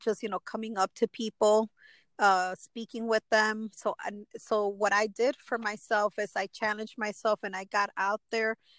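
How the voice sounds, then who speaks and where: With a Chicago accent, a woman with a fairly high pitch and fairly even intonation is heard in a very clean, dry, close recording with no echo and a silent background. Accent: Chicago American English. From Chicago, Little Village/Pilsen area, Mexican American. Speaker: motivational speaker and women's empowerment founder. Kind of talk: interview testimony. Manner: halting, many fillers.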